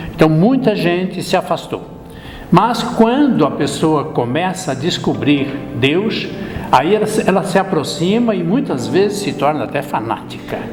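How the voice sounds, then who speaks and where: A man with a high pitch and lively intonation at a fairly slow pace, with audible room echo and music in the background. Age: 70s. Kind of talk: interview.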